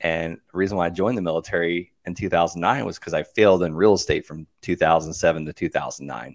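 This man speaks at a fairly quick pace in a very deep, low pitch with ordinary pitch variation, against a quiet background. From US South, Okeechobee, Florida. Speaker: real estate investor and coach. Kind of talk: casual interview.

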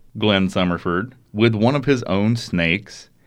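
A man with an Alabama accent. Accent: Southern US (Alabama). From US South, rural Alabama. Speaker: podcast host. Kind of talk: true crime storytelling chat.

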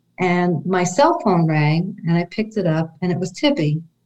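A woman with a New York accent speaks at a fairly slow pace. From New York City, Brooklyn. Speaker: descendant of Holocaust-era family. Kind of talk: interview storytelling.

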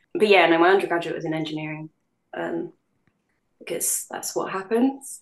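A woman's fairly low voice in a London accent, at a moderate pace with ordinary pitch variation, big swings in loudness and long, frequent pauses. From London, England. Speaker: voice actress. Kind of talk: casual interview chat.

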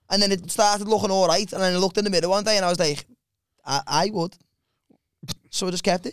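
With a Liverpool accent and a high pitch, a man talks at a very fast pace between long, frequent pauses, his intonation fairly even and the sound dry and close with no echo. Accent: Scouse. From Liverpool, England. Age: 20s. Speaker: comedian. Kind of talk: casual chat.

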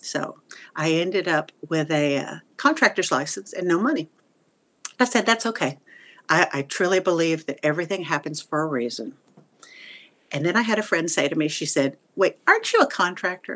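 In a Texan accent, a woman with a fairly low voice uses lively intonation and leaves long, frequent pauses. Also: moderate pace. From Texas, Wichita Falls. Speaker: retired theater teacher. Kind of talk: interview.

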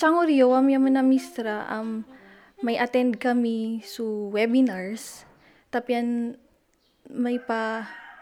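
Speaking with a Batanes accent, a woman talks at a very slow pace. Her pitch is fairly high and her intonation fairly even. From Philippines, Batanes (Sabtang). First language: Ivatan (speaking Tagalog). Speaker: math teacher. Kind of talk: interview.

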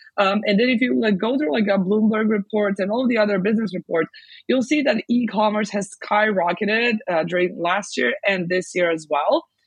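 At a moderate pace, a woman with a medium pitch and ordinary pitch variation sounds somewhat breathy. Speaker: international e-commerce expert. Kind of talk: interview. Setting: video call.

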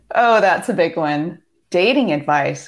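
Speaking at a very slow pace, a woman with a West Coast accent keeps a medium pitch. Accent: American West Coast. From US Pacific Northwest, Seattle. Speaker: divorce coach. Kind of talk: casual interview. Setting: video call.

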